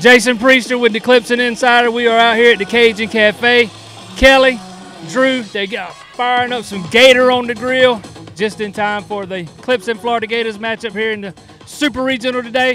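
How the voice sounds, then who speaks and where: A man talks in a raised, projected voice with fairly even intonation at a moderate pace. Faint music sits in the background, and the sound is dry with no echo. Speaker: sports site interviewer. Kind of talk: interview questions. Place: stadium. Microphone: handheld.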